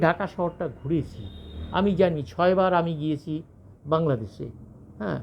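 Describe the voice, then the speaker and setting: A woman's fairly low voice with vocal fry and lively intonation. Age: 70s. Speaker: political commentator. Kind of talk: monologue. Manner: animated.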